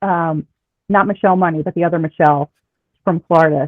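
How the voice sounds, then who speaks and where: A woman with a slight Philadelphia accent speaks at a fairly quick pace. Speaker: former reality show contestant. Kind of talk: casual interview chat.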